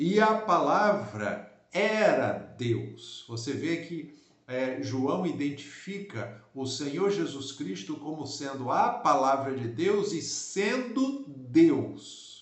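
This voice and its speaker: Very slowly and with hardly any pauses, a man speaks at a fairly high pitch with very wide pitch swings. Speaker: pastor. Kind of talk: Bible teaching. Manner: slow, deliberate.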